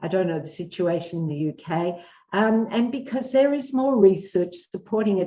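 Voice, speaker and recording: A woman with an Australian accent speaks at a moderate pace and medium pitch, her tone dark and mellow and her intonation lively. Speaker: psychologist. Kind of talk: interview. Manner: animated.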